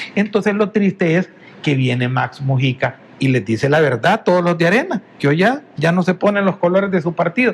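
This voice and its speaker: A man speaks in a high voice with lively intonation. His pace is fairly quick. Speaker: politician, election candidate. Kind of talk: political interview. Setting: TV studio.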